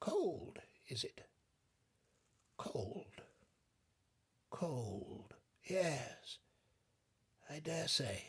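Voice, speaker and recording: A put-on character voice whispers, shaky and very slow. Long pauses come often. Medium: read story. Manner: feeble, apathetic, quavering.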